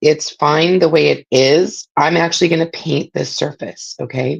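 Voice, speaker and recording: A woman with a fairly low pitch and ordinary pitch variation speaks with vocal fry, the sound dry and close with no echo. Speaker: craft tutorial host. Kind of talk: live craft tutorial. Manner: casual, filler-heavy.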